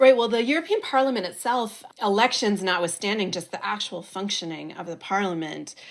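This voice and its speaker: A woman with an American accent speaks with vocal fry and ordinary pitch variation in a very clean recording with a silent background. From United States. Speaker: political journalist and podcast host. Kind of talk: interview.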